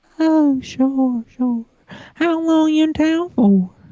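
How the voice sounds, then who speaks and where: A woman puts on a character voice, high in pitch and very slow in pace. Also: ordinary pitch variation. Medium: stage play. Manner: folksy drawl.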